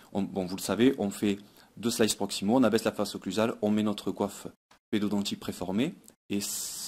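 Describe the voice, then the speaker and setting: With a Toulouse accent, a man talks at a fairly quick pace in a fairly low pitch on a very clean recording with a silent background. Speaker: pediatric dentist. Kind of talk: conference talk. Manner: hesitant, frequent fillers and repetitions.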